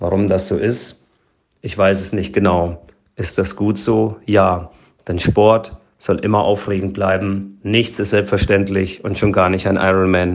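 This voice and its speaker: This man's pitch sits fairly low. He talks fairly slowly in a monotone with flat intonation. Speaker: sports scientist and athletic coach. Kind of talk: interview.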